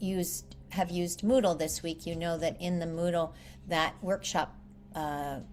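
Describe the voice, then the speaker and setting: A plain, everyday voice from a woman, fairly low in pitch, fairly slow and with fairly even intonation. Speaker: English teacher. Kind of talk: online class lecture.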